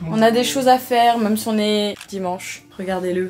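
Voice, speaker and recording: Her voice sits fairly high. This woman talks at a moderate pace. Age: 20s. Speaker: lifestyle vlogger. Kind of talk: vlog. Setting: outdoors. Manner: animated.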